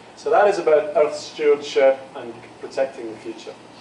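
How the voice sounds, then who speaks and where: A man's voice, fairly high in pitch with ordinary pitch variation, amid noticeable background noise and audible room echo. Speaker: geoscience professor. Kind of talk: lecture. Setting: university lecture room with students. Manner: deliberately slow.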